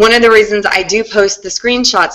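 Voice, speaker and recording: A woman speaks in a bright, sharp tone, her pitch fairly high with ordinary variation. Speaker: content marketing consultant. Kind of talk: group video call presentation. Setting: online video call. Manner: fast; animated.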